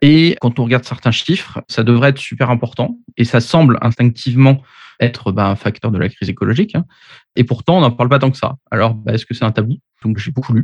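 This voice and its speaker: Speaking fairly quickly, a man uses a medium pitch with ordinary pitch variation and a somewhat breathy voice. The sound is dry and close with no echo, over a quiet background. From Paris, France. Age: 30s. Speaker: engineer and author. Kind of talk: podcast interview.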